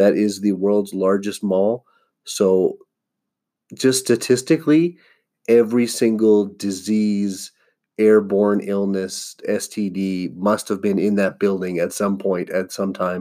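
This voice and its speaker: Speaking at a very slow pace, a man uses a fairly low pitch with ordinary variation and a dark, mellow tone. The recording is very clean, with a silent background. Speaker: stand-up comedian and podcast host. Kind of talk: casual monologue. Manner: animated.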